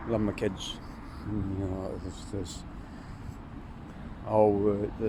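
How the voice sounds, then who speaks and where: Pitched fairly low, a man speaks at a very slow pace in a monotone, flat intonation with long, frequent pauses, and audible room echo surrounds him. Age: 50s. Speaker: vlogger, divorced father. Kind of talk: casual vlog monologue. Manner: hesitant, many fillers and repetitions.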